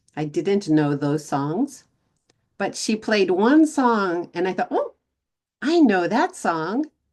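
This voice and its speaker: With an American accent, a woman speaks at a very slow pace. Her pitch makes very wide swings. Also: medium pitch for a woman. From Texas. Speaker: English teacher vlogger. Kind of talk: casual English-learning vlog. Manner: slow, clear for learners.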